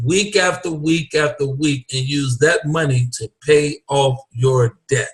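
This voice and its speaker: A man in an American accent, fairly high in pitch, at a very slow pace. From Ohio, Columbus. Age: 50s. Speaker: financial services salesman. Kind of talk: sales pitch. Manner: animated.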